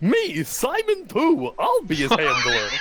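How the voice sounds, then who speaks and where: A put-on character voice at a fairly slow pace, with clear background noise. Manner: hammy, exaggerated.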